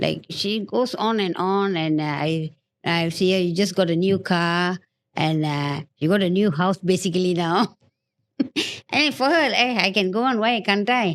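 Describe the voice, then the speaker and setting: A woman talks in a normal speaking voice, medium in pitch with ordinary pitch variation and very even loudness, at a fairly slow pace. The recording is very clean, with a silent background. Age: 60s. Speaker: podcast guest. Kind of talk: casual chat.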